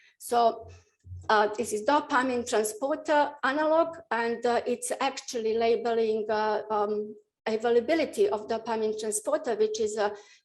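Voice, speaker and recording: In a Bosnian accent, a woman with a fairly high pitch speaks at a moderate pace against a quiet background. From Bosnia and Herzegovina. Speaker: professor of nuclear medicine. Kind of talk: lecture. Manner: halting, many fillers.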